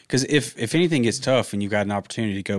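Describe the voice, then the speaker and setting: Recorded very cleanly against a silent background, a man speaks at a fairly low pitch with a dry, close sound and no echo. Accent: Southern US. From Georgia, US South. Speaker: real estate investor and realtor. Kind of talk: casual chat.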